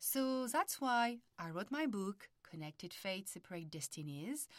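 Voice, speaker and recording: A woman with a French accent, medium pitch and lively intonation at a fairly slow pace. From France. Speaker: podcast host and family constellations therapist. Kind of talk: podcast intro monologue.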